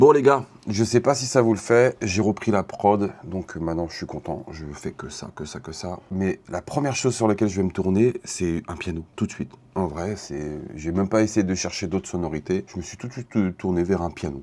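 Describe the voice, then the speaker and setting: With lively intonation and big swings in loudness, a man talks at a moderate pace in a very deep, low pitch and a dark, mellow tone. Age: 40s. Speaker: beatmaker. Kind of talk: casual vlog.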